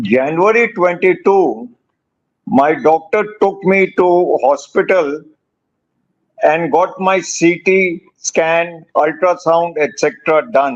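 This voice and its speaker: Speaking at a very slow pace, a man with a high voice keeps his loudness very even and his pitch variation ordinary. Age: 70s. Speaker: cancer patient. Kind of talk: testimony.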